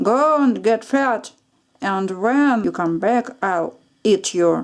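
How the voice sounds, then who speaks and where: In a put-on character voice, a woman speaks at a fairly high pitch and a very slow pace. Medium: read story. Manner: growling, greedy.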